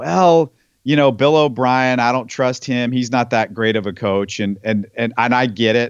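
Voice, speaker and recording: A man with an American accent, medium pitch, and ordinary pitch variation at a moderate pace, a plain, everyday voice over a quiet background. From Texas, Houston. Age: 40s. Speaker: sports podcast host. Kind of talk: casual interview.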